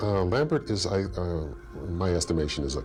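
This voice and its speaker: The voice is resonant and moves at a moderate pace. Noticeable background noise sits behind it. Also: man. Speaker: voice actor. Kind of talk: interview. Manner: halting, many fillers.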